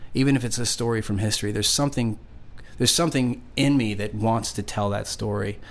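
A man talks at a very fast pace with fairly even intonation. His pitch sits in the medium range. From Long Island, New York; moved around (Indiana, Nevada, Georgia). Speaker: singer-songwriter. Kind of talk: casual interview chat. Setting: studio. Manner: relaxed.

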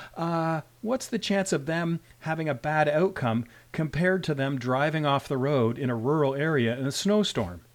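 With a Canadian accent, a man speaks in an ordinary speaking voice, fairly high in pitch and with lively intonation. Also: moderate pace. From Canada. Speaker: rural emergency physician, medical educator. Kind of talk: interview discussion. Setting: video call.

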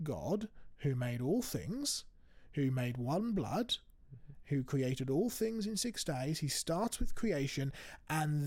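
Somewhat breathy and fairly high in pitch, a man speaks at a fairly slow pace with very wide pitch swings on a very clean recording with a silent background. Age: 20s. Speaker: creation ministry speaker. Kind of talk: casual chat. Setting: studio.

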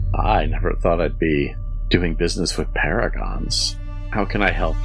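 A husky, put-on character voice at a moderate pace with clear music in the background. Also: man. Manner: wry, suspicious.

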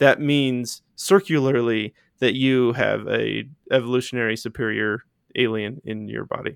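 A man speaks at medium pitch with fairly even intonation. It is a normal speaking voice. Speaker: podcast host. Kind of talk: casual chat.

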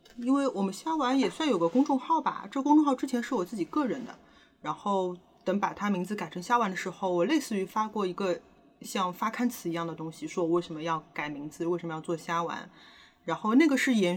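Her pitch swings very widely as a woman of medium pitch speaks at a fairly quick pace in a somewhat breathy voice. The recording is very clean, with a silent background. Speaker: podcast co-host. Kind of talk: casual chat. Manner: hesitant, many fillers.

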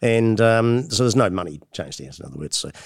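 The recording is very clean, with a silent background. A man talks very fast in a New Zealand accent. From New Zealand, Motueka (top of South Island). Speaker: hop breeder and plant geneticist. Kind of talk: interview. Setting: conference venue.

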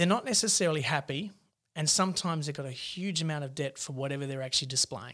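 A man with an Australian accent, fairly high pitch, a bright and sharp tone, ordinary pitch variation and a very fast pace. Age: 40s. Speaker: mortgage broker. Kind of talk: podcast interview.

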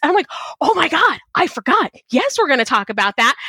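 A woman with an American accent speaks in a raised, projected voice, animated and with very wide pitch swings. The sound is dry and close, with no echo. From Texas. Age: 40s. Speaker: podcast host. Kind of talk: casual interview chat.

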